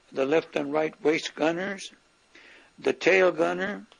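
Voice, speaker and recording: A man with an American accent, high-pitched for a man, at a fairly slow pace amid noticeable background noise. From Southern California, US. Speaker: war veteran. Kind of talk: testimony.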